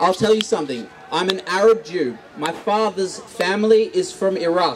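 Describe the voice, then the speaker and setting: Over noticeable background noise, a man speaks in an Australian accent at a high pitch. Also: ordinary pitch variation, moderate pace. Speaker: audience member at protest dialogue. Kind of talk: heated debate. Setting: public gathering with microphone. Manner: animated.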